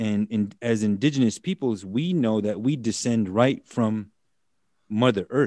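With a dark, mellow tone and a medium pitch, a man speaks at a fairly slow pace with ordinary pitch variation, recorded with a dry, close sound with no echo against a quiet background. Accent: American. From US Midwest, Standing Rock Reservation, South Dakota/North Dakota. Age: 40s. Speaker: attorney and activist. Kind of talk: interview.

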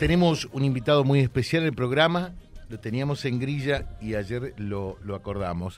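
With lively intonation and a moderate pace, a man talks in a plain, everyday voice at medium pitch. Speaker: radio host. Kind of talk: radio interview.

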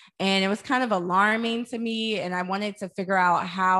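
In an American accent, a woman with a plain, everyday voice speaks at a moderate pace with fairly even intonation on a very clean recording with a silent background. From US Midwest, St. Louis, Missouri. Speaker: wellness entrepreneur and podcaster. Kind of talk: interview.

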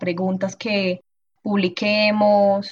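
A woman speaks in a somewhat breathy voice. Her intonation is flat and monotone. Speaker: biology student. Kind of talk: casual chat.

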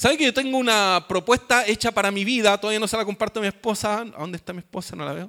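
A man speaks in a raised, projected voice, high-pitched and bright, sharp in tone, at a very fast pace with big swings in loudness. The recording is very clean with a silent background and a dry, close sound with no echo. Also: ordinary pitch variation. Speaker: pastor. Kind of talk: sermon. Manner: halting.

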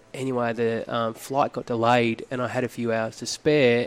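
Speaking with an Australian accent, a man keeps a medium pitch and fairly even intonation. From Australia, Phillip Island, Victoria. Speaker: model and former school teacher. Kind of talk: casual chat.

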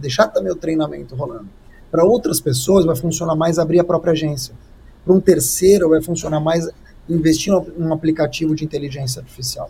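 In a normal speaking voice, a man talks fairly quickly. His pitch varies in an ordinary way. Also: fairly high pitch for a man. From Brazil. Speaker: communication strategist and speaker. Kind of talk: live-streamed interview.

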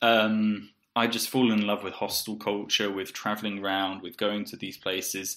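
In a southern English accent, a man with a fairly low pitch and a bright, sharp tone speaks at a fairly slow pace on a very clean recording with a silent background. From southeast England. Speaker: podcast co-host, English teacher. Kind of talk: casual chat.

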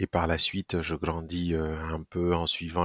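In a very clean recording with a silent background and a dry, close sound with no echo, a man speaks with a very deep, low pitch and monotone, flat intonation. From Burkina Faso. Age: 30s. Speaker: startup founder. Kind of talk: casual interview. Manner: halting, frequent repetitions.

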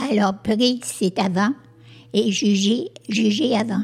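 A woman at a very slow pace with ordinary pitch variation. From Quebec, Sherbrooke. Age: old. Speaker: community group founder, senior. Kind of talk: casual discussion. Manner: halting, repeats words.

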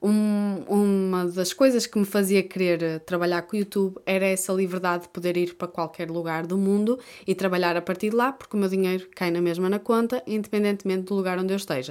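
With a European Portuguese accent, a woman speaks at medium pitch with fairly even intonation. Her pace is fairly quick, with hardly any pauses. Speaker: YouTuber and podcaster. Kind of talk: casual solo monologue.

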